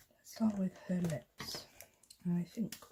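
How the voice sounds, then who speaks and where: In a Welsh accent, this soft-spoken voice has a dark, mellow tone, sounds somewhat breathy, keeps a fairly even intonation and moves at a fairly slow pace. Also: woman. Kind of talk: ASMR colouring ramble.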